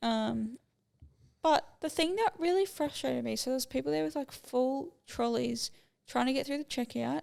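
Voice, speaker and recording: A woman talks at a moderate pace with an Australian accent. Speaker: podcast host. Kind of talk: casual chat.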